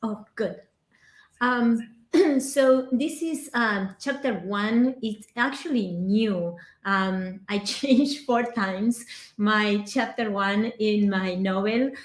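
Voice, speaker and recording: Somewhat breathy and very slow, the speaker has an Argentine accent and ordinary pitch variation on a very clean recording with a silent background. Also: woman. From Argentina. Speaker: aspiring novelist.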